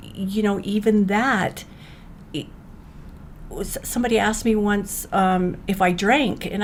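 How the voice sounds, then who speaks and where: Speaking with an American accent, a woman uses a fairly high pitch. She keeps a moderate pace over noticeable background noise. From Utah. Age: 60s. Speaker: mother of addicted sons, awareness advocate. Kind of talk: casual chat.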